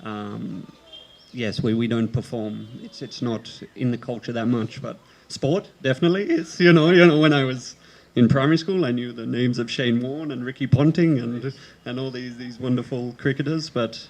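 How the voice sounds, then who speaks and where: With an Australian accent, a man talks at a medium pitch and a moderate pace. There is noticeable background noise. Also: big swings in loudness. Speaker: theatre performer. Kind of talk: panel talk. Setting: open-air stage with audience.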